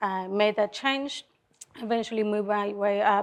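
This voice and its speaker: A woman with a Colombian accent. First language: Spanish. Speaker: car dealership general manager. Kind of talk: panel talk to audience. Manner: halting, many fillers.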